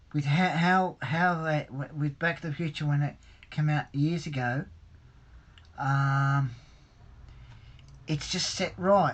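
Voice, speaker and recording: Very slow speech in an Australian accent, with long, frequent pauses. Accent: Australian, taken by a viewer for British. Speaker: hobbyist livestreamer. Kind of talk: live stream chat reading viewer comments. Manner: hesitant, many fillers and repetitions.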